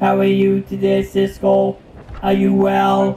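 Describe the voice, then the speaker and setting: A man's put-on character voice, very deep and low, flat and monotone, at a fairly slow pace. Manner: playful, jokey.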